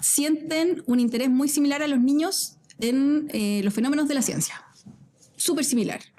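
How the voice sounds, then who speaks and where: With a Chilean accent, a woman speaks at a high pitch and a very even loudness. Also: ordinary pitch variation, moderate pace. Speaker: physicist and science communicator. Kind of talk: casual interview chat. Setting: studio at an art centre.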